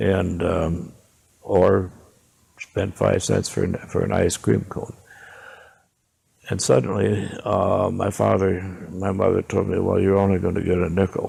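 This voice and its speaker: Pausing long and often, a man with a very deep, low pitch talks at a fairly slow pace with fairly even intonation. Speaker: elderly interviewee recalling the Depression. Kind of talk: oral history interview. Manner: halting.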